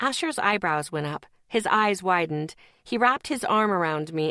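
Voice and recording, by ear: Lively intonation marks this passage of reading aloud in a natural voice.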